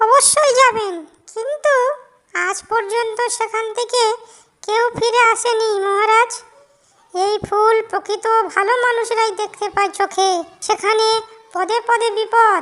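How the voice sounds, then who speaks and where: Using a cartoonish character voice at an extremely high pitch, a woman speaks fairly slowly with fairly even intonation. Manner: respectful, warm, courteous.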